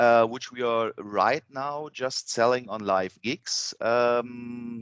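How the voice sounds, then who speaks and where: Very slowly and with fairly even intonation, a man speaks in a dry, close sound with no echo. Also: medium pitch for a man. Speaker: band member. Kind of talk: interview. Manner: halting, many fillers.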